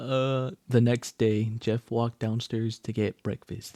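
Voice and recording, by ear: The speaker is reading aloud in a natural voice, keeping the intonation fairly level.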